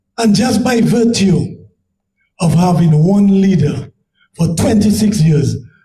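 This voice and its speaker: With long, frequent pauses and audible room echo, a man talks at a very slow pace in a high, dark and mellow voice, his loudness very even and his pitch variation ordinary. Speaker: political candidate. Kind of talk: public forum debate answer.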